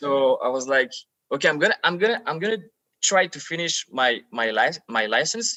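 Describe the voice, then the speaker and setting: Pitch swings very widely here, with a French accent. The pace is fairly slow. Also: man, high pitch for a man. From France, Paris. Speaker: actor. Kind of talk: casual chat. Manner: halting, repeats words.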